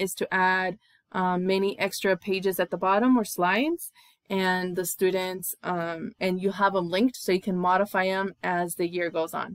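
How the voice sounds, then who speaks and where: Medium in pitch and moderate in pace, a woman speaks in an unremarkable speaking voice. The sound is dry and close with no echo. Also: very clean recording, silent background. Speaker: teacher. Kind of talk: tutorial.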